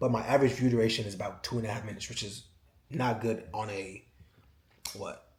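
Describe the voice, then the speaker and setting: Somewhat breathy, a man at medium pitch talks at a very fast pace with fairly even intonation amid audible room echo. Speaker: YouTuber, cooking channel creator. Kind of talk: casual vlog monologue. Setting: home, checking YouTube studio.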